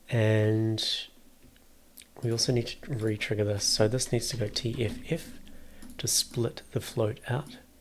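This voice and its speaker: A man with a medium pitch speaks at a fairly slow pace, leaving long, frequent pauses. His voice is somewhat breathy and his intonation fairly even. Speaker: music producer. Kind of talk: tutorial. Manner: unscripted, thinking aloud.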